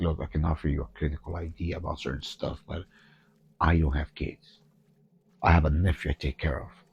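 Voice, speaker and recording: Music plays in the background as a man with a very deep, low voice speaks at a moderate pace. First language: Spanish. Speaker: gaming streamer with therapy background. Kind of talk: let's play commentary. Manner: animated.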